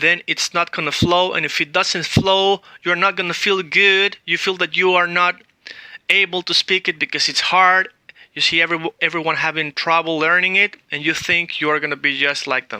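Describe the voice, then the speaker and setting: A man's high-pitched voice with a Spanish accent, flat and monotone, in a dry, close recording with no echo. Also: moderate pace. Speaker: language teacher. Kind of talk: tutorial.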